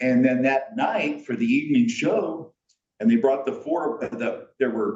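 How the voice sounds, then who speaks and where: At a fairly slow pace, a man with a fairly high pitch talks with very wide pitch swings. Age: 70s. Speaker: architect and masters bodybuilder. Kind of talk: casual podcast interview.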